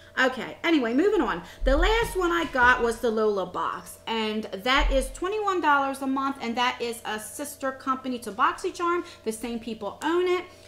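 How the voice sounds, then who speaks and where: A high-pitched woman with an American accent, very wide pitch swings, hardly any pauses, and noticeable background noise. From USA. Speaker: beauty vlogger. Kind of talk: casual review vlog. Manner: fast.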